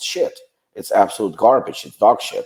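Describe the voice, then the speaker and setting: Speaking at a moderate pace with a Ukrainian accent, a man is heard in a very clean recording with a silent background. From western Ukraine. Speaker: supplement company founder. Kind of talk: podcast interview.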